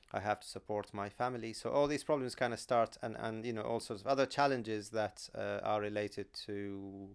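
With an Arabic accent, a man talks at a moderate pace and a fairly low pitch, keeping a fairly even intonation. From Syria, Aleppo. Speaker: psychiatrist and community organizer. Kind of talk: interview.

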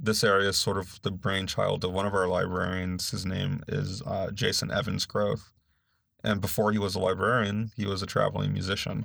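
Fairly low in pitch, a man speaks with an American accent. His pace is moderate and his pitch variation ordinary. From US West Coast, Los Angeles (San Gabriel Valley). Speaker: librarian, former Marine. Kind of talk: interview. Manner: direct.

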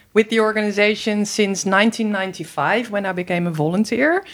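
Speaking in a Dutch accent, a woman has a fairly high pitch. She keeps a moderate pace with ordinary pitch variation. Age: 50s. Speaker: environmental and human rights organization director. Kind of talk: interview. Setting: studio.

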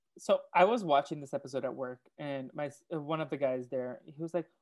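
A man speaks in a plain, everyday voice, fairly high in pitch and with ordinary pitch variation. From Oklahoma. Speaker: podcast host. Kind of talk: casual chat. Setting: remote call recording.

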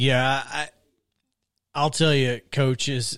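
On a very clean recording with a silent background, a man with a Southern US accent and medium pitch speaks at a very slow pace in a monotone, flat intonation. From Alabama. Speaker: sports radio host. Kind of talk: casual chat. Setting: studio.

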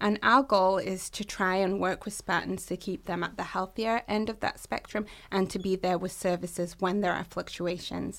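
An American-accented woman at medium pitch, fairly even in intonation, moderate in pace with hardly any pauses, in a very clean recording with a silent background. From England. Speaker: university health administrator. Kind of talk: interview.

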